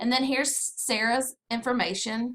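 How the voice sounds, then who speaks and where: With a Southern US accent, a woman talks in a bright, sharp tone and fairly even intonation. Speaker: direct sales consultant. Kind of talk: screen-recorded tutorial.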